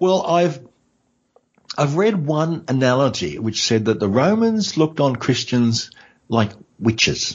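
A man with an Australian accent speaks at a fairly slow pace with a fairly high pitch, very wide pitch swings, very even loudness and long, frequent pauses. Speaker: history podcaster. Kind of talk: casual interview. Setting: in person at host's home.

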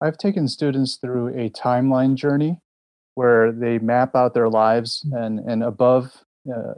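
An ordinary speaking voice, a man with an American accent talks at a moderate pace in a medium pitch with fairly even intonation. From US, Korean American. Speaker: seminary preaching professor. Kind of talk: interview.

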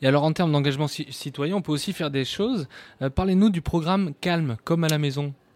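Fairly quick and fairly high-pitched, a man speaks in an unremarkable speaking voice with ordinary pitch variation and a dry, close sound with no echo. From Périgord, France. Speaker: radio host. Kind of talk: live radio show. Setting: studio.

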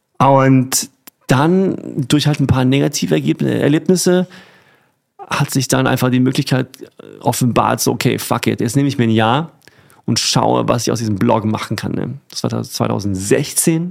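Long, frequent pauses break up a man's moderate pace as he speaks at a medium pitch with lively intonation. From Germany, Rhineland-Palatinate (rural). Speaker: food blogger. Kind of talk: casual chat.

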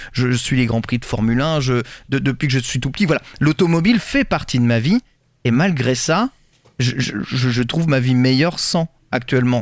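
Heard in a dry, close sound with no echo, a man with a plain, everyday voice speaks at a fairly high pitch and a fairly slow pace, with ordinary pitch variation. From rural France. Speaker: podcast host. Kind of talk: casual chat. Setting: remote recording.

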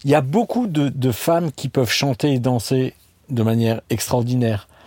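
Recorded very cleanly against a silent background, a man's dark, mellow voice sounds dry and close with no echo. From Alsace, France (Strasbourg). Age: 50s. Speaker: restaurant chain co-founder. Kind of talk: casual interview chat.

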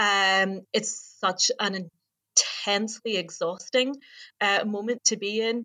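Speaking at a very slow pace, a woman uses a bright, sharp tone at medium pitch, with fairly even intonation and very even loudness. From Northern Ireland. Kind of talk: casual conversation, remote panel discussion. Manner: slowing down to be understood.

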